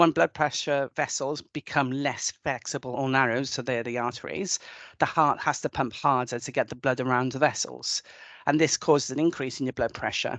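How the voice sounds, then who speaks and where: Over a quiet background, a woman with a Welsh accent speaks at a moderate pace in a very deep, low pitch with fairly even intonation, the sound dry and close with no echo. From Wales. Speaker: nurse. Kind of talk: webinar presentation.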